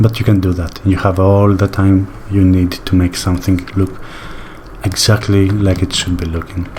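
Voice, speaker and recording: A man with a non-native accent speaks in a very deep, low voice with a relaxed tone and monotone, flat intonation. Noticeable background noise runs underneath. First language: not English. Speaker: sculpting tutorial creator. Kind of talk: tutorial. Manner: slow paced; relaxed, hesitant with fillers.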